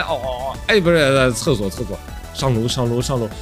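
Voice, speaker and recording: A man speaks with music playing in the background. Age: young. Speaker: game commentator. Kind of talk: casual gameplay commentary.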